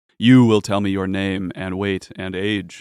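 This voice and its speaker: A man's raspy, put-on character voice, fairly low in pitch, monotone and flat, at a moderate pace. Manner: commanding.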